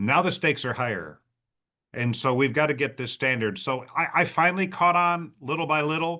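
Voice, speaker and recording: A man's fairly high, bright, sharp voice at a moderate pace, with ordinary pitch variation and a quiet background. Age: 60s. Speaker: leadership speaker and author. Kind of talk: podcast interview.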